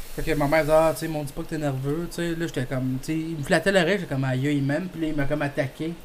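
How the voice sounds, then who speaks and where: Speaking very fast with hardly any pauses, a man keeps a fairly high pitch in a monotone, flat delivery over noticeable background noise. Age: 20s. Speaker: podcast host. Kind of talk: casual chat.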